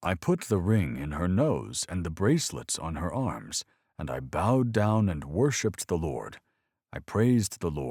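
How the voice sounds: Lively intonation shapes a natural reading voice, heard against a quiet background.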